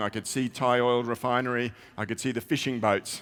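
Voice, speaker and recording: A man with an Australian accent, talking at a moderate pace. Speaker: IT research advisor. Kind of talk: conference keynote. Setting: stage with audience. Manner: conversational, with frequent fillers.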